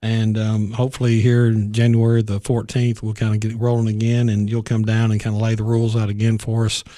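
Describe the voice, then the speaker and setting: Delivered at a fairly quick pace in a Tennessee accent, the voice has a dark, mellow tone and a flat, monotone intonation over a quiet background. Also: man. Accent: Southern US (Tennessee). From US South, Middle Tennessee. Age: 50s. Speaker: county executive, retired army officer. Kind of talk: interview.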